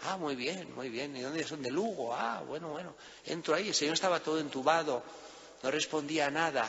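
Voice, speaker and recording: A man with a Spanish accent speaks at a fairly high pitch with ordinary pitch variation, with audible room echo and noticeable background noise. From Spain. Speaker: priest. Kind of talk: sermon.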